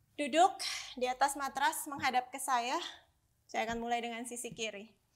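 At a moderate pace, a woman talks in a high pitch with ordinary pitch variation against a quiet background. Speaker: Pilates instructor. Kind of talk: workout instruction cues. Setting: home studio, video workout. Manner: instructional, steady, encouraging, slightly breathless when the moves get hard. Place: home room. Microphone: lapel.

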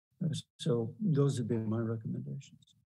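Somewhat breathy, a man's voice has a dark, mellow tone. The background stays quiet. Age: 70s. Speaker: panelist. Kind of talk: panel discussion. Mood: reflective, encouraging. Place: home room. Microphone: video call.

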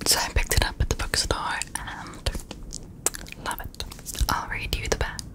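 A woman whispers at a moderate speed, stopping often for long pauses. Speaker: ASMR creator. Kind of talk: casual ASMR talk about books. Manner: whispered, soft, rambling. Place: home room. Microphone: studio mic.

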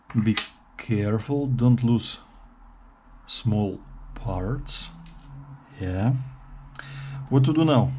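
Over light background noise, a man speaks very slowly in a dark, mellow, somewhat breathy tone, with ordinary pitch variation and long, frequent pauses. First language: not English. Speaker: guitar DIY video maker. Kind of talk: tutorial. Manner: casual. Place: workshop. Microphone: camera far.

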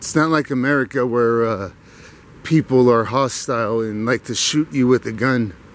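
A man speaks at a moderate pace with ordinary pitch variation. The sound is dry with no echo. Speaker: walking vlogger. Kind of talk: casual vlog chat. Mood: opinionated, ranting. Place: garden. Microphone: phone near.

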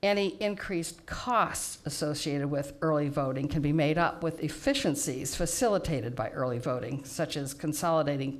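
Speaking at a moderate pace, a woman delivers her words. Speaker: public speaker. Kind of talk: prepared public testimony. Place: hall. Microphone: podium.

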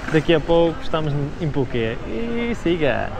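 A man's voice against noticeable background noise. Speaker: travel vlogger. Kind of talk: casual vlog chat. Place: hall. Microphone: lapel.

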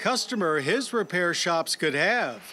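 Music plays in the background as the voice moves at a moderate pace with lively intonation. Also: man. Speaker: TV show host. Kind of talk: documentary tribute narration.

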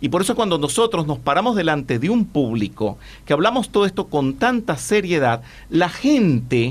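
With very wide pitch swings, a man speaks with vocal fry. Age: 60s. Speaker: spiritual teacher. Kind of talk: interview. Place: studio. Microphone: studio mic.

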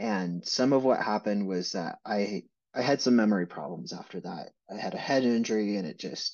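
A man is speaking at a moderate pace. Behind him is a quiet background. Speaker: interviewee. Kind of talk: interview answer. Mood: reflective, candid. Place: home room. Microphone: webcam.

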